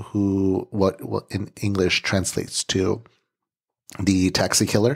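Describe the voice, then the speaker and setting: With an unremarkable speaking voice and fairly low pitch, a man talks at a fairly slow pace in a very clean recording with a silent background and a dry, close sound with no echo. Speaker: true crime podcast host. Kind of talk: storytelling narration of a crime case.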